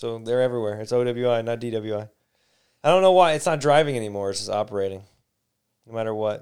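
A man with a Midwestern American accent speaks at a very fast pace and medium pitch with ordinary pitch variation, leaving long, frequent pauses, in a very clean recording with a silent background. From Detroit. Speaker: podcast host. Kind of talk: casual chat.

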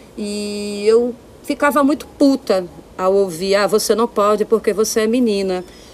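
There is noticeable background noise as a woman speaks at a fairly slow pace. Her pitch is fairly high, with ordinary pitch variation. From Brazil, Olinda (Pernambuco). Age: 40s. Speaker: singer-songwriter and visual artist. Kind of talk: casual chat. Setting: home studio, remote recording.

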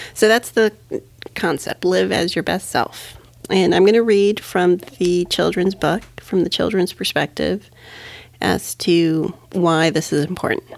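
Speaking at a fairly slow pace, a woman uses a fairly low pitch with ordinary pitch variation, and there is noticeable background noise. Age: 40s. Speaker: parenting podcast co-host. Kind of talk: casual chat. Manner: animated, laughing often.

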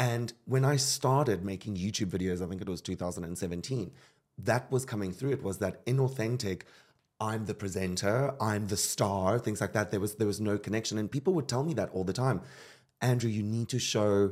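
A man's fairly quick, fairly low-pitched delivery in a normal speaking voice, with ordinary pitch variation and a very clean recording with a silent background. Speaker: podcast host. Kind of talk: casual interview. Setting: studio.

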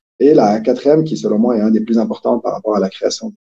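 Medium pitch for a man, in a male voice with a dark, mellow tone. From Quebec. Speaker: entrepreneur, company cofounder. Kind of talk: interview conversation.

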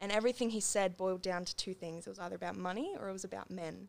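A woman speaks with an Australian accent. Her pitch sits in the middle range. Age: young. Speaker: singer-songwriter. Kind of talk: casual interview.

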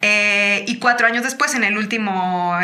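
Her tone is bright and sharp, pitched fairly high for a woman. She keeps a moderate pace and fairly even intonation. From Mexico, Chiapas. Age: 30s. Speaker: singer-songwriter. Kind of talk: casual interview chat.

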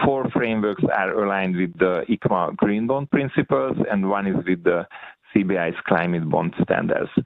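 A man with a fairly low pitch and ordinary pitch variation talks through noticeable background noise. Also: moderate pace. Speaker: central bank official. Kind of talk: conference keynote presentation. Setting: online conference.

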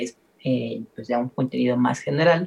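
A somewhat breathy man speaks at a fairly slow pace with ordinary pitch variation. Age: 30s. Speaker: film podcast host. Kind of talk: casual chat.

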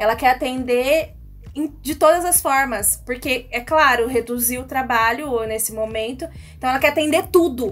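In a high voice with ordinary pitch variation, a woman talks at a moderate speed. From Brazil, Bauru (São Paulo state). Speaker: radio co-host. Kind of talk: radio talk show.

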